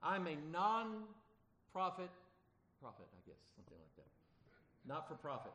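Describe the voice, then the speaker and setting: With long, frequent pauses, a man talks at a moderate pace in a bright, sharp, animated tone, with ordinary pitch variation and big swings in loudness. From Arkansas. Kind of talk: sermon. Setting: church. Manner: animated, conversational preacher with humor and audience questions.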